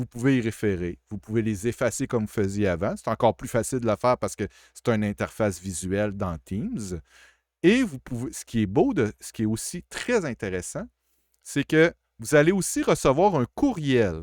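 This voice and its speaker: At a moderate pace, the voice shows big swings in loudness, with a dry, close sound with no echo. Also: man, medium pitch for a man, lively intonation, very clean recording, silent background. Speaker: college IT support staff. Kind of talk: tutorial. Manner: casual, with hesitations.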